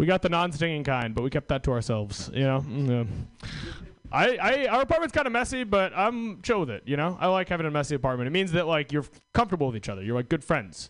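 Talking very fast in an American accent, a man with a fairly high pitch makes very wide pitch swings. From Washington State. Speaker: stand-up comedian. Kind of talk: stand-up. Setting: stage with audience.

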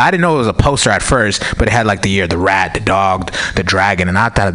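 A man at a very fast pace with ordinary pitch variation and noticeable background noise. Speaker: stand-up comedian. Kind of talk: stand-up. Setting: stage with audience.

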